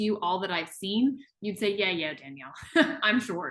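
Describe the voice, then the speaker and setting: A woman speaks in an enthusiastic tone at a fairly quick pace. Her voice is bright and sharp, medium in pitch, with lively intonation. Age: 30s. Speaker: wellness product promoter and biologist. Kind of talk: interview hosting.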